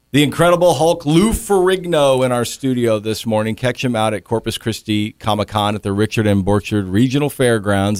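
Here a man with an unremarkable speaking voice talks at a fairly quick pace with hardly any pauses. His pitch is medium and his intonation lively. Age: 50s. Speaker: morning radio host. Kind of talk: radio interview. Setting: radio studio.

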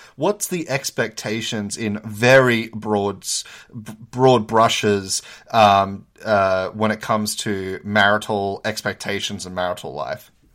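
On a very clean recording with a silent background, a man with a fairly low voice speaks very slowly, his loudness swinging widely. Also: ordinary pitch variation. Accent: Australian. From Australia. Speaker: podcast host, PhD student. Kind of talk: interview.

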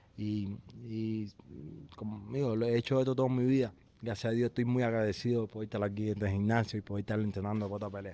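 At a fairly quick pace, a man with a fairly low pitch and a dark, mellow tone speaks in a monotone, flat way. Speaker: professional boxer. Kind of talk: interview. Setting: boxing gym. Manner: halting.

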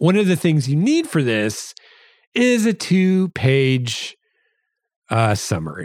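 Speaking at a very slow pace with very wide pitch swings, a man with a Midwestern American accent is recorded very cleanly against a silent background. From US Midwest. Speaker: podcast host and science fiction novelist. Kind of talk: casual solo podcast monologue. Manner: halting with fillers and repeated words.

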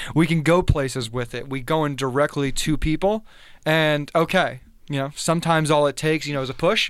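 In a very clean recording with a silent background, a man with a normal speaking voice and an American accent speaks at a fairly high pitch and a fairly quick pace, with fairly even intonation. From South Florida, US. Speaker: former college basketball player. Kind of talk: casual interview. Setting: studio.

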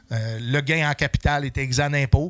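This man's voice is pitched fairly high. He keeps a moderate pace with ordinary pitch variation. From Quebec City. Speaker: comedian and military veteran. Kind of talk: casual chat.

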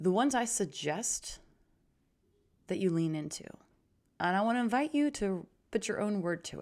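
A woman's medium-pitched voice with an animated tone, lively intonation, a moderate pace and long, frequent pauses, in a very clean recording with a silent background. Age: 30s. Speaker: confidence coach and podcast host. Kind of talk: motivational solo podcast monologue.

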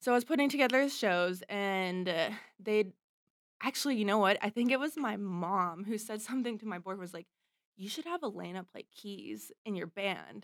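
A woman with a plain, everyday voice and an American accent, medium in pitch, at a moderate pace, lively in intonation, with big swings in loudness. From US, Pittsburgh, Pennsylvania. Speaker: singer-songwriter and keyboard player. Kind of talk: casual interview chat.

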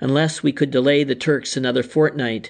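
A man's normal speaking voice, medium in pitch with ordinary pitch variation, at a moderate pace over a quiet background. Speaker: audiobook narrator. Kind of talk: literary audiobook reading of a war memoir. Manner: measured, formal narration.

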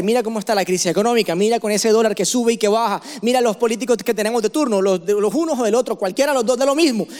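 In a Colombian coastal accent, a man rattles off words at a very fast pace in an extremely high pitch, his tone animated and his pitch variation ordinary. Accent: Colombian coastal (costeño). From Barranquilla, Colombian Caribbean coast. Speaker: pastor. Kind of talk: sermon.

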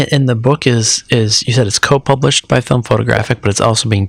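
A man speaks with a medium pitch, a somewhat breathy tone and ordinary pitch variation. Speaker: podcast host. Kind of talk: interview.

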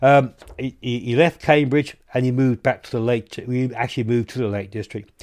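A man speaks with a southern English accent at a medium pitch and a fairly quick pace. The recording is very clean, with a silent background. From southern England. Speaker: radio host. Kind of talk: radio astronomy show. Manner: halting, many fillers.

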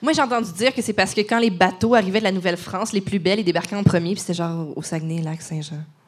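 This woman talks at a very fast pace with hardly any pauses. Her pitch sits in the medium range. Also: ordinary pitch variation. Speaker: podcast host. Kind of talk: casual chat. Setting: stage with audience.

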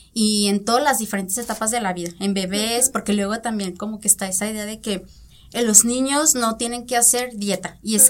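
Speaking at a moderate pace, a woman has a normal speaking voice with a fairly high pitch. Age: 20s. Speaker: nutritionist. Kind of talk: interview. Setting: studio.

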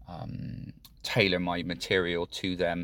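With a British accent, a man speaks in a very deep, low voice. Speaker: podcast host. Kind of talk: solo monologue podcast, reflective talk. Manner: halting, thinking aloud with fillers.

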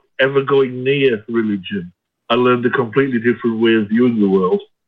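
This man has a British accent. He talks in a mid-range register. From UK. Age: 50s. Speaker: caller, psychiatric nurse. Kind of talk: phone-in question. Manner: halting.

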